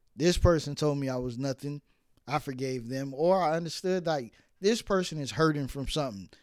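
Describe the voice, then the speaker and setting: A man with an American accent and a plain, everyday voice talks at a fairly quick pace, fairly high in pitch with ordinary variation, on a very clean recording with a silent background. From New York (Brooklyn). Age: 30s. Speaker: podcast host. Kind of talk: casual chat.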